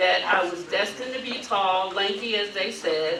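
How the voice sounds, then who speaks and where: Woman with an American accent, fairly slow pace, audible room echo and noticeable background noise. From Brooklyn, New York and Mississippi. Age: 60s. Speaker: advocacy group leader. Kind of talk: banquet speech.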